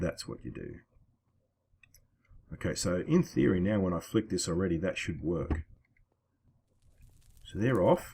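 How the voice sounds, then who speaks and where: Breaking often into long pauses, a man with an Australian accent speaks at a moderate pace in a somewhat breathy, dark, mellow tone, his very deep, low pitch showing ordinary variation. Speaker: gaming video creator. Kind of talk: gameplay commentary. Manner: casual.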